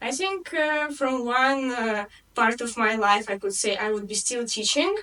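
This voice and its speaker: A woman with a Russian accent talks at a fairly slow pace in a high pitch. Her intonation is lively, and there is noticeable background noise. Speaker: English tutor. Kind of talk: interview.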